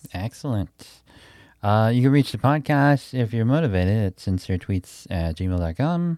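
A man with an American accent speaks at medium pitch with lively intonation and a dark, mellow tone. The sound is dry and close with no echo, on a very clean recording with a silent background. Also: moderate pace. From Milwaukee, Wisconsin, US Midwest. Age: 30s. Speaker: podcast host and comedian. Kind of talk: casual interview chat.

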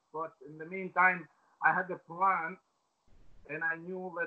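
The speaker talks at a moderate pace with an Albanian accent. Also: man. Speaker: former footballer. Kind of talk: interview. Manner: halting.

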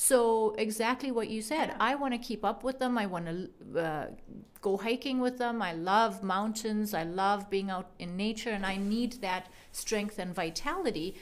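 A woman's fairly high-pitched, normal speaking voice at a moderate pace, with ordinary pitch variation. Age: 40s. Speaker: physician. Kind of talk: interview.

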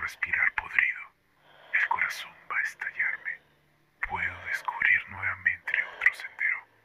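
A man whispers at a fairly slow pace, leaving long, frequent pauses, with noticeable background noise behind him. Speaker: horror story author narrating his own story. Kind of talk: dramatic horror narration, first-person reading aloud of a nightmare story. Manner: dramatic, tense, slow and deliberate with eerie pauses.

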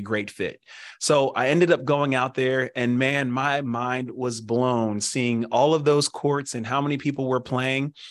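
Against a quiet background, a man of medium pitch talks at a moderate pace in a plain, everyday voice. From Pennsylvania. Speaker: former pro football player, foot care business representative. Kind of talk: interview.

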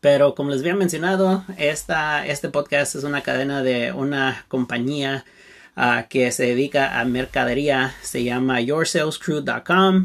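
Fairly slow speech from a man, fairly high in pitch, with ordinary pitch variation. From Santa Barbara, California, US. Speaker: podcast host, business coach. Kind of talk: solo monologue podcast. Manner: halting, many fillers.

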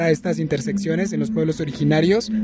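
The speaker is a man. His pitch is high, and noticeable background noise is present. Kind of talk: testimony. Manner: halting, with frequent fillers.

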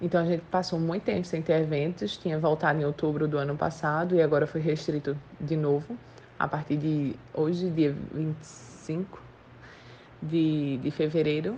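With a very deep, low pitch, a woman talks at a moderate pace in a dark, mellow, somewhat breathy tone with fairly even intonation. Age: 20s. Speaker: entrepreneur. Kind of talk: interview.

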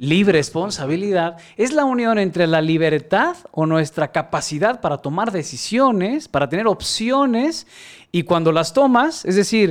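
A man is speaking. His pitch swings very widely. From Mexico, Guadalajara. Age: 40s. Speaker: creativity mentor and facilitator. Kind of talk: interview.

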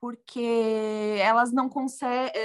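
Against a quiet background, a woman speaks at a high pitch. Her pace is very slow. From southern Brazil, Rio Grande do Sul. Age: 30s. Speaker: journalist and food blogger. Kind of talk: casual interview chat.

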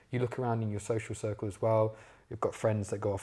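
A man with an East Midlands accent talks at a very fast pace in a somewhat breathy voice with a dark, mellow tone, recorded very cleanly against a silent background. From English Midlands, Leicester. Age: 20s. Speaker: social media entrepreneur. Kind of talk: casual interview.

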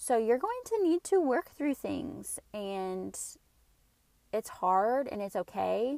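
Soft-spoken and very slow, a woman talks with a dry, close sound and no echo. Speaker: podcast host. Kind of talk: casual monologue. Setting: in a car.

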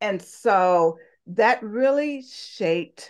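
Lively intonation against a quiet background. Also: woman. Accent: Southern US. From US South, Talladega, Alabama. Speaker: interview guest. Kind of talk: interview.

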